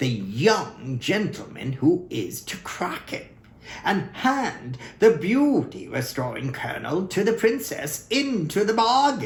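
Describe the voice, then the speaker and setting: Putting on a character voice, a man speaks fairly slowly in a high pitch with very wide swings. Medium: read story. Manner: earnest, collegial.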